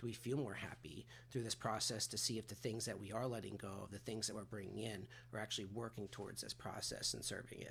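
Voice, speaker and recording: A man's fairly low voice with vocal fry, very fast and fairly even in intonation. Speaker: recovery and personal development coach. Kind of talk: solo talking-head coaching talk. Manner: casual with many filler words.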